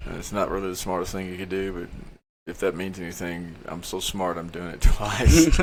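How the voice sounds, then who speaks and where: A man with a Texan accent speaks at a very deep, low pitch, his intonation fairly even but his loudness swinging widely. Room echo is audible. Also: fairly quick pace. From Texas. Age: 50s. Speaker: political candidate. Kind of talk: casual interview.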